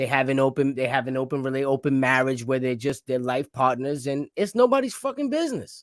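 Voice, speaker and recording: With a New York accent, a man talks at a very fast pace with hardly any pauses, a medium pitch and fairly even intonation. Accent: New York-sounding. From Rhode Island, Providence. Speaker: podcast host. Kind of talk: casual chat.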